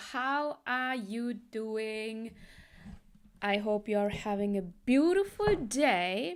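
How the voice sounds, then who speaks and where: A woman with a non-native accent speaks very slowly at a fairly high pitch, with ordinary pitch variation. The recording is very clean, with a silent background. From Sri Lankan Tamil heritage, raised in Germany. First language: Tamil. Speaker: business coach. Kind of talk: casual talk to camera.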